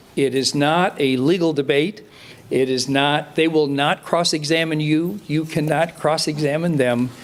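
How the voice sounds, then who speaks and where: A man's fairly high voice at a fairly slow pace, with fairly even intonation, very even loudness, and noticeable background noise. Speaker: city attorney. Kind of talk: procedural explanation.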